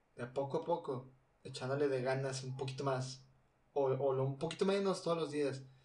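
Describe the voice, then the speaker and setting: A man with a Mexican accent speaks at a moderate pace, his voice somewhat breathy. His pitch varies in an ordinary way, and audible room echo surrounds him. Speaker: student podcaster. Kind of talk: casual monologue. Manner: halting.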